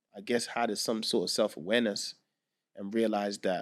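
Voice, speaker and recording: A man with a Southeast London accent talks at a fairly quick pace. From Nigeria, then Southeast London. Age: 30s. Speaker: music producer. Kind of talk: casual chat.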